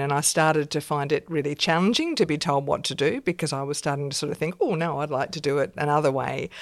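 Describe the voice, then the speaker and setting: An Australian accent with ordinary pitch variation, in a very clean recording with a silent background. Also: woman. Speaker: science professor and dean. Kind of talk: interview.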